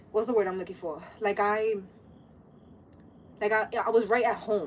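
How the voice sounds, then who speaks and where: With a medium pitch, a woman talks in an animated tone. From New York City (Brooklyn and the Bronx). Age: 30s. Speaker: livestreamer. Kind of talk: casual chat.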